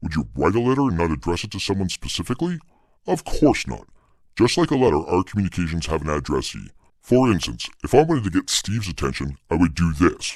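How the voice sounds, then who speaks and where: The speaker rattles along at a very fast pace in a put-on character voice. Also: man, very deep, low pitch for a man. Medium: audio drama. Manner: matter-of-fact, wry.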